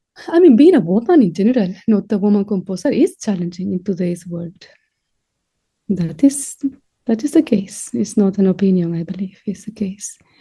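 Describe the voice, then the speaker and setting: A woman with a dark, mellow, somewhat breathy voice speaks at medium pitch and a moderate pace. Her intonation is lively. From Spain. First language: Spanish. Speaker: composer and professor. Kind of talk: interview.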